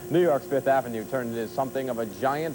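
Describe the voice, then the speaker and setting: Music can be heard in the background. The man's pitch sits in the medium range. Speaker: news anchor. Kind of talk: TV news anchor read.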